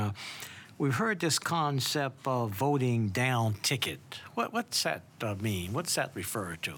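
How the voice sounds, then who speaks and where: Lively intonation runs through an ordinary speaking voice delivered at a fairly slow pace. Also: man. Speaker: podcast host and judge. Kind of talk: interview.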